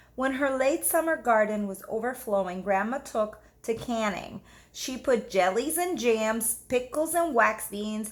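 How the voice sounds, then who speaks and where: She has a normal speaking voice with lively intonation. This woman's pitch is fairly high and her pace fairly slow. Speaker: teacher. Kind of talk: children's book read-aloud. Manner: expressive, engaging.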